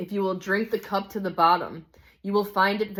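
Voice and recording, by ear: This recording consists of reading aloud in a natural voice.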